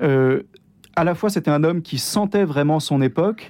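On a very clean recording with a silent background, a man talks at a fairly slow pace and a fairly high pitch with ordinary pitch variation. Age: 30s. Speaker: Dominican priest. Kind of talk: radio interview. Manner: enthusiastic; hesitant with many fillers.

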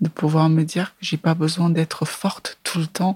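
Somewhat breathy and fairly low, a woman's voice stays monotone and flat. The sound is dry and close with no echo. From Cameroon, Yaoundé. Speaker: film director. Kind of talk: interview. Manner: halting, frequent hesitations.

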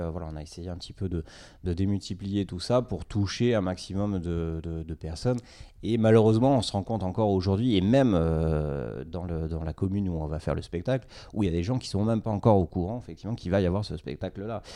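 Speaking at a very fast pace, a man with a very deep, low voice has a dark, mellow tone and ordinary pitch variation. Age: 30s. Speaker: environmental educator and amateur show organizer. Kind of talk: podcast interview. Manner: halting, many fillers and repetitions.

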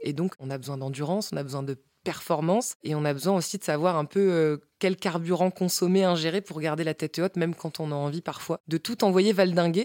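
A woman with a plain, everyday voice speaks at a fairly quick pace, her fairly low pitch moving with ordinary variation, on a very clean recording with a silent background. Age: 30s. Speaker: podcast host and author. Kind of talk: casual interview; scripted intro.

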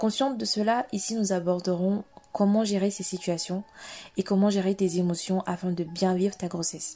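Speaking at a moderate pace, a woman has a plain, everyday voice at medium pitch with fairly even intonation. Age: 20s. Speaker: podcast host. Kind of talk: solo podcast introduction.

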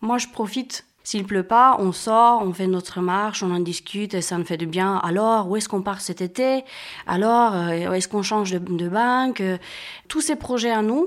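A woman talks fairly slowly, her medium-pitched voice showing ordinary pitch variation. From Romania. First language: Romanian (speaking French). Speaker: sport walker. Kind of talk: casual interview. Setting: at home, living room.

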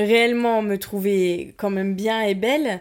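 A woman at a very slow pace, on a very clean recording with a silent background. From provincial France. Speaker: podcast guest sharing personal story. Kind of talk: personal testimony.

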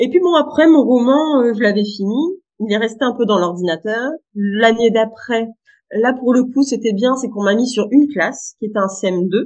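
A woman speaks at a fairly slow pace in a fairly high pitch. Her pitch varies in an ordinary way. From northern France, Boulogne-sur-Mer. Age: 30s. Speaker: web writer. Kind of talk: interview. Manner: hesitant with many fillers.

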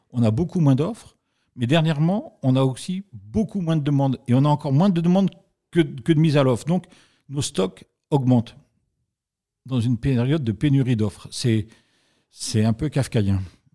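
A man's fairly high, dark, mellow voice with lively intonation and long, frequent pauses. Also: moderate pace. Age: 50s. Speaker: real estate industry federation president. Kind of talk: interview.

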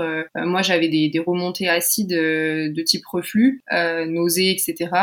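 A woman speaks in a fairly low voice with fairly even intonation, and noticeable background noise can be heard. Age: 20s. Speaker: psychology student with type 1 diabetes. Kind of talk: interview about personal health experience.

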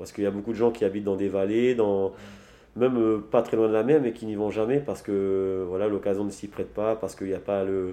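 A man's fairly low, dark, mellow voice at a fairly quick pace with fairly even intonation, against a quiet background. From French Polynesia. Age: 30s. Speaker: sailor and entrepreneur. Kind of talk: interview. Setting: office. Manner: halting.

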